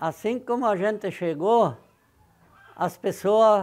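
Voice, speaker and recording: Speaking fairly slowly, a man uses a high-pitched voice with ordinary variation in pitch. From southern Brazil, Rio Grande do Sul. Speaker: farmer, pioneer settler. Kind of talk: interview testimony. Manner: halting.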